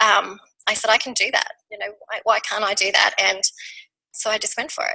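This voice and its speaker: An Australian-accented woman's voice. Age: 40s. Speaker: network marketing team member. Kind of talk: testimony.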